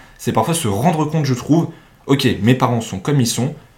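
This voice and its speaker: The pace is fairly quick. There is a somewhat breathy quality to the voice. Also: man. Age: 20s. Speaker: university student and podcast host. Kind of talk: casual chat.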